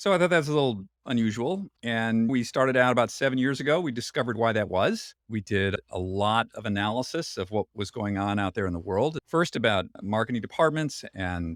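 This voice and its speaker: A man talks at a fairly quick pace with an unremarkable speaking voice. His intonation is lively. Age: 60s. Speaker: photographer and longevity business founder. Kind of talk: podcast interview.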